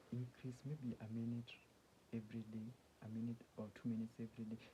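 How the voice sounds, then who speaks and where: A man is talking with music in the background. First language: not English (English is third language). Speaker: self-help vlogger. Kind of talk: casual monologue. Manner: halting, many restarts.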